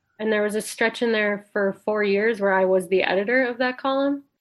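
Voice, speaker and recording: There's a woman speaking with an Upper Midwest accent. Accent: Upper Midwest American. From northwestern Wisconsin, small town. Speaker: freelance writer and podcast critic. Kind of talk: casual interview.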